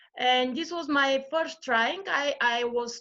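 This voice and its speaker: A woman with a Bulgarian accent and a bright, sharp tone speaks fairly slowly at a high pitch with lively intonation. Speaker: yoga practitioner and mother. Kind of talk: interview. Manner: halting.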